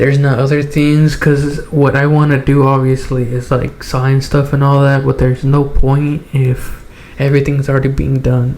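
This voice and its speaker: A man's flat, monotone delivery plays against noticeable background noise. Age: 20s. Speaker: podcast host. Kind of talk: casual chat. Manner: halting.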